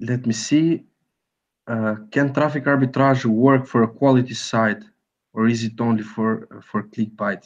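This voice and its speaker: A man's fairly slow, fairly even speech with a non-native accent, against a quiet background. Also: medium pitch for a man. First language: not English. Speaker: software and ad-tech business guest. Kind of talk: webinar Q&A. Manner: halting, many fillers.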